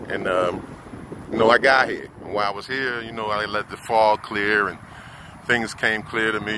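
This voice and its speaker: Noticeable background noise sits behind a man who talks at a fairly quick pace with an American accent. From US Northeast (Philadelphia / New Jersey area). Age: 50s. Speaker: vlogger. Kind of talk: casual monologue. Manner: halting, with many fillers.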